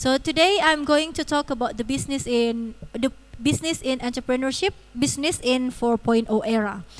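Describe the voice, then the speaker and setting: Over noticeable background noise, a woman with a high pitch talks fairly quickly with ordinary pitch variation. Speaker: university lecturer. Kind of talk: online seminar lecture. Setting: video call. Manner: halting.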